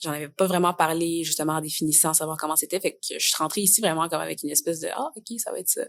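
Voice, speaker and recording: A woman with a fairly low pitch talks at a very fast pace, her intonation fairly even. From Quebec, Montreal. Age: 20s. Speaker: theatre student. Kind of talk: podcast interview. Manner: casual, many fillers.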